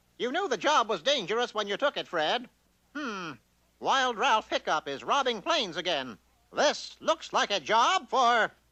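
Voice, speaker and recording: Using a cartoonish character voice with an extremely high pitch, a man speaks at a moderate pace against a quiet background. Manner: pompous, self-assured.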